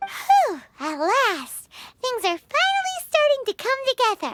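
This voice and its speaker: A squeaky, put-on character voice sits at an extremely high pitch. It moves at a fairly slow pace. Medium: fan dub. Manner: excitable, complaining.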